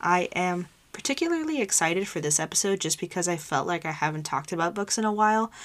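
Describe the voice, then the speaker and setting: Speaking at a very fast pace, a woman has a medium pitch. Her pitch variation is ordinary. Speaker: podcast host. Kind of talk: casual solo talk. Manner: energetic.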